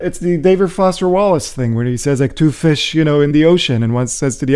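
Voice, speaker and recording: A man with an American accent talks at a very fast pace, his fairly high voice dark and mellow in tone with lively intonation. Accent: learned American accent, Israeli roots. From central Israel. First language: Hebrew. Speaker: professor. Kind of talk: interview. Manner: conversational, many fillers.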